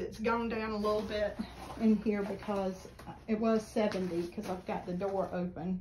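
A woman with fairly even intonation and a slightly mellow tone

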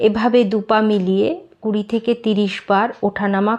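With a quiet background, a woman talks in a plain, everyday voice at a fairly high pitch, her intonation fairly even. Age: 50s. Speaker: yoga vlogger. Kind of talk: tutorial.

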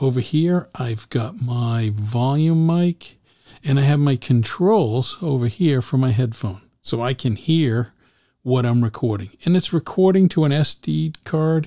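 A man's dark, mellow voice, fairly slow, with lively intonation, over a quiet background. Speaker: podcaster showing his gear. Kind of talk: casual tutorial. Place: home room. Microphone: studio mic.

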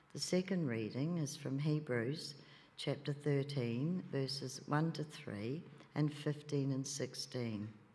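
Very slowly, a woman speaks in a dark, mellow tone at a very deep, low pitch. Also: ordinary pitch variation. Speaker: churchgoer; lay reader at a church service. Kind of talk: testimony. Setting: church. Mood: calm, reflective. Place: church. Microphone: podium.

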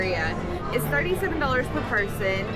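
A woman speaks over loud background music. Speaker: food vlogger. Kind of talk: casual vlog chat. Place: cafe. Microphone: phone near.

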